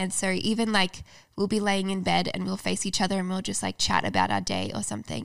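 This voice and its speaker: A woman with an Australian accent is heard in a very clean recording with a silent background. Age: 20s. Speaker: YouTuber and author. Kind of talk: casual interview chat.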